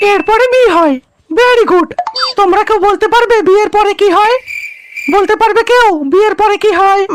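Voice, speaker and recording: A cartoonish character voice with ordinary pitch variation, very even loudness and a moderate pace. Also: woman, extremely high pitch for a woman. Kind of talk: comic cartoon dubbing. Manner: bossy, questioning.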